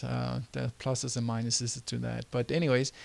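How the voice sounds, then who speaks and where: A man speaks with a Danish accent. His pace is moderate. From Denmark. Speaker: entrepreneur and website tutor. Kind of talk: tutorial. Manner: halting, many fillers.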